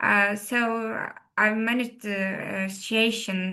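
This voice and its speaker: Against a quiet background, a woman speaks at a fairly high pitch in a bright, sharp tone. Her intonation is monotone and flat. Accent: Turkish. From Turkey. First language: Turkish. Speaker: rally co-driver and engineer. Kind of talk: interview. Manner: halting, many fillers.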